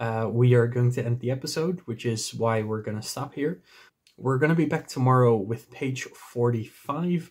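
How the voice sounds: A natural reading voice moves through ordinary shifts in pitch.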